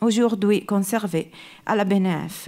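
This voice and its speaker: This is a woman speaking. She has an Italian accent. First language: Italian (speaking French). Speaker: art historian. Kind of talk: lecture. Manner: halting.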